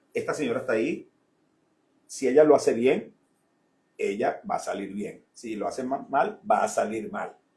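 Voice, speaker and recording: Long, frequent pauses from a man at a moderate pace. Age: 60s. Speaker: businessman and former minister. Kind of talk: radio interview.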